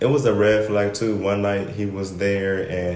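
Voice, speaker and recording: A man with a fairly low voice speaks over noticeable background noise, with audible echo in the room. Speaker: podcast guest. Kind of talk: casual chat. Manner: monotone.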